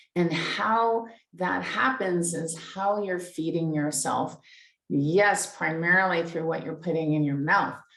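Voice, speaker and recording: Speaking at a fairly slow pace, a woman uses ordinary pitch variation, and audible room echo can be heard around her. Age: 60s. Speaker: life coach. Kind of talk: live stream talk. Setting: live stream on Facebook and Zoom. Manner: halting, repeats words.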